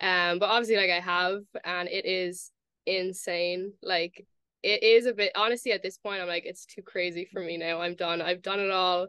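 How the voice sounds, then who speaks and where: This woman has an American accent and a bright, sharp tone. Her intonation stays monotone and flat. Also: medium pitch for a woman, moderate pace. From Ireland, Cork. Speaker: college golfer. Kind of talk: podcast interview.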